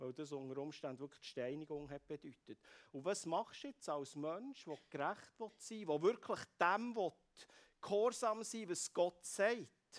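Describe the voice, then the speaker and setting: Lively intonation at a moderate pace comes through a dry, close sound with no echo on a very clean recording with a silent background. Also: man. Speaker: preacher. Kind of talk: sermon.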